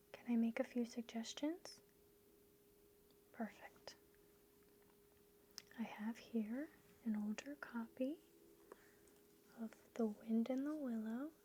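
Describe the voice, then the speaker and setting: Soft-spoken and gentle, a woman with a fairly high pitch and a dark, mellow tone talks at a very slow pace, with ordinary pitch variation and long, frequent pauses. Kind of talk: ASMR bookstore role play. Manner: soft-spoken, gentle.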